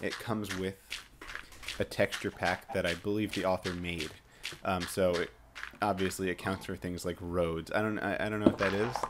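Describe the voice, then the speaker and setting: Speech with monotone, flat intonation and long, frequent pauses comes through over noticeable background noise. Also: man, very deep, low pitch for a man, moderate pace. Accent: American. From New York. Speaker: video game commentator. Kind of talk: gameplay walkthrough commentary. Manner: halting, many fillers.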